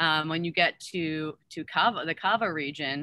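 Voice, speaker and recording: A woman with a fairly low pitch speaks in an enthusiastic tone. The sound is dry, with no echo. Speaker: wine importer. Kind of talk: virtual wine tasting. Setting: video call. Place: garden. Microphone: video call.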